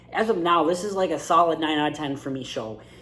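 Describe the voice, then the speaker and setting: Speech comes at a very fast pace. Noticeable background noise runs underneath. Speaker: movie reviewer. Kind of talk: casual movie review vlog. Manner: casual, some stammering repeats.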